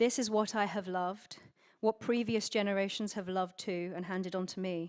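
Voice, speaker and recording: In a British accent, a woman talks at a moderate pace and medium pitch with fairly even intonation, on a very clean recording with a silent background. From UK. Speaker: conference speaker. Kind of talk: conference speech.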